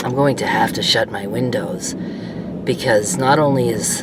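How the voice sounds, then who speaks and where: The room echo is audible and background noise is noticeable. Through it, a woman talks at a moderate pace. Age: 60s. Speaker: vlogger. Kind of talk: personal vlog monologue. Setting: in a parked car. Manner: casual, halting.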